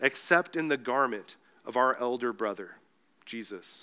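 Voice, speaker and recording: On a very clean recording with a silent background, a man speaks in a bright, sharp tone with ordinary pitch variation. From Mexico. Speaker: pastor. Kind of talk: sermon. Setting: church.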